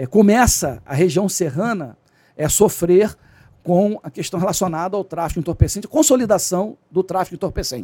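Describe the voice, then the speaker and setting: Using a high pitch with a dark, mellow tone, a man speaks at a moderate pace with ordinary pitch variation. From Rio de Janeiro state, Brazil (Nova Friburgo, then Rio suburbs). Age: 60s. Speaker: retired special police captain and security consultant. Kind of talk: podcast interview.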